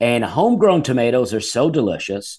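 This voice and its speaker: Against a quiet background, a man with an Alabama accent speaks at medium pitch with lively intonation. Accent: Southern US (Alabama). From Alabama, US South. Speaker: stand-up comedian. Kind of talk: casual chat.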